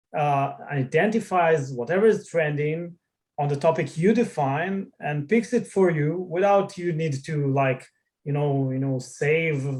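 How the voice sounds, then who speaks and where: Speaking with a non-native accent, a man talks fairly slowly at a fairly high pitch with ordinary pitch variation. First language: not English. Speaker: tech founder. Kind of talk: interview. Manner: halting, many fillers.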